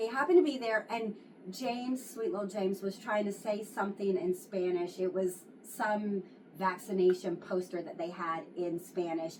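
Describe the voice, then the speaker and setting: A woman's speech unfolds at a moderate pace while noticeable background noise can be heard. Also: medium pitch for a woman, ordinary pitch variation. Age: 40s. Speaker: widow sharing her story of loss. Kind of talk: casual chat. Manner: animated.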